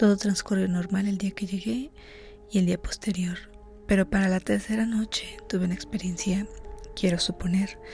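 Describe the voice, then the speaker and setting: Whispering at a moderate pace, a soft-spoken woman talks while music plays in the background. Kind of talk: horror story reading, ASMR. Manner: soft-spoken, whispered.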